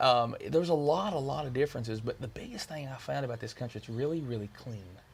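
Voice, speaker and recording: A somewhat breathy man with a Kentucky accent, medium in pitch, at a very fast pace with ordinary pitch variation and big swings in loudness. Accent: American Southern (Kentucky). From Kentucky, US. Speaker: country music singer. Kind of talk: interview.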